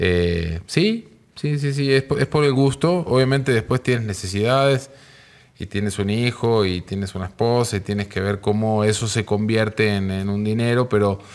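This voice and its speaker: A man speaks in a normal speaking voice. His pitch is fairly low, and his pace is moderate. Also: ordinary pitch variation. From Argentina, Mar del Plata. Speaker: music manager. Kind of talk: casual chat.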